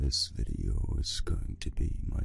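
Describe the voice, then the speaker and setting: A man's fairly slow speech over music in the background. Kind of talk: casual talk to listener.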